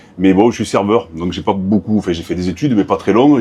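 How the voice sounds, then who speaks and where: A man with a strong southern French accent speaks at a very deep, low pitch. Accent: strong Aveyron southern French. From Aveyron, southern France. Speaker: sommelier. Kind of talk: casual chat. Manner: energetic.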